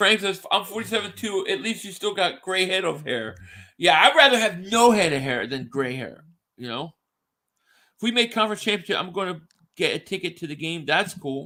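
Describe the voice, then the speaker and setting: In a very clean recording with a silent background, a man with an American accent uses a raised, projected voice that is high-pitched, bright and sharp, moving at a fairly quick pace with lively intonation and big swings in loudness. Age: 40s. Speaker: sports podcast host. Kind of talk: casual chat.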